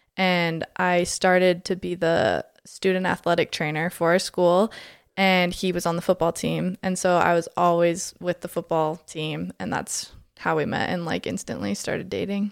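A woman with a normal speaking voice speaks at a moderate pace and a fairly low pitch, her intonation fairly even, in a dry, close recording with no echo that is very clean against a silent background. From Alberta, Canada. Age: 20s. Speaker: mom community founder. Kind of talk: casual chat.

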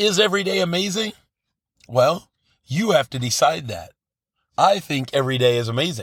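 At a moderate pace, a man with a fairly high pitch and vocal fry makes very wide pitch swings, leaving long, frequent pauses. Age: 50s. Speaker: podcast host, life coach. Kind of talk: motivational monologue. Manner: conversational, repetitive fillers.

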